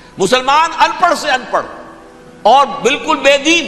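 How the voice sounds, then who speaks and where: A man's raised, projected voice over music in the background. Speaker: Islamic scholar giving a religious lecture. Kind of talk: religious sermon / lecture (bayan). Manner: earnest, impassioned, explanatory.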